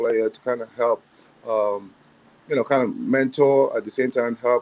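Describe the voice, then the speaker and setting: With a strong African accent, a man speaks at a moderate pace and medium pitch, his intonation fairly even and the sound dry and close with no echo. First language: not English (African language). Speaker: assistant basketball coach. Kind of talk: interview. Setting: livestream.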